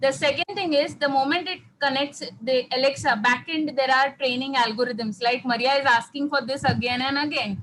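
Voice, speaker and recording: Barely pausing, a woman speaks at a high pitch. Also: ordinary pitch variation, moderate pace. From South India. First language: a South Indian language. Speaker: workshop participant. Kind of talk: Q&A answer.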